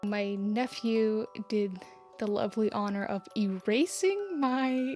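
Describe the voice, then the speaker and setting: A quiet woman's voice at a medium pitch, with fairly even intonation and music in the background. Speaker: artist. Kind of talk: casual talk to camera.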